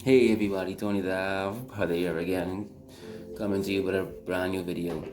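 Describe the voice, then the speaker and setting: Over music in the background, a man with a very deep, low pitch speaks at a moderate pace with fairly even intonation, and the room echo is audible. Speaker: vlogger. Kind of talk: personal commentary video. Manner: halting, repeats words.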